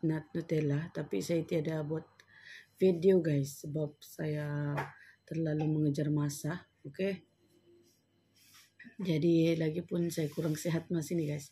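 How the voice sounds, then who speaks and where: On a very clean recording with a silent background, a woman speaks at a very slow pace in a very deep, low, somewhat breathy voice with a dark, mellow tone and monotone, flat intonation. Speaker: home baker vlogger. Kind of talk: cooking tutorial. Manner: casual, chatty.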